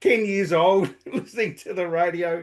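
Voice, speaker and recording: A high-pitched male voice in an Australian accent, with ordinary pitch variation against a quiet background. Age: 60s. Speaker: podcaster. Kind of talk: interview. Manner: halting.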